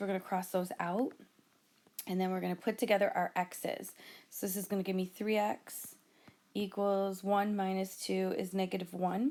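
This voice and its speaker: A woman with a medium-pitched voice talks at a moderate speed. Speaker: math teacher. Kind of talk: tutorial.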